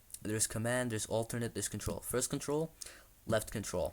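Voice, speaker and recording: A man is speaking. His voice is quiet. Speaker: tech youtuber. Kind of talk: screen-recorded tutorial with live commentary. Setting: at home, someone sleeping nearby. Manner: kept quiet, low volume; excited, animated at success.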